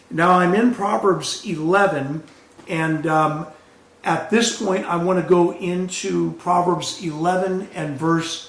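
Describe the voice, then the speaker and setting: Over noticeable background noise and audible room echo, a man talks very slowly at a high pitch with ordinary pitch variation. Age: 60s. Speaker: pastor. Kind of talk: sermon.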